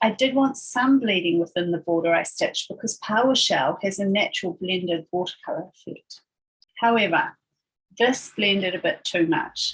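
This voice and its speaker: A woman speaks at medium pitch with a somewhat breathy quality. Her intonation is lively and her pace moderate. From New Zealand. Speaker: embroidery designer. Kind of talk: craft tutorial voiceover.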